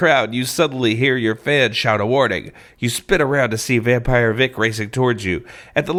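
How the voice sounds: Fairly even intonation in a natural voice reading aloud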